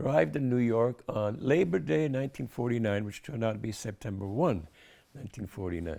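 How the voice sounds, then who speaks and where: A man's fairly low voice with a dark, mellow tone, on a very clean recording against a silent background. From Germany, Berlin. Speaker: retired engineer, war veteran. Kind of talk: oral history interview answer.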